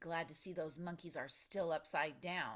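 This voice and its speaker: A put-on character voice growls at a moderate pace and a middle pitch. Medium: read story. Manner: angry, bullying.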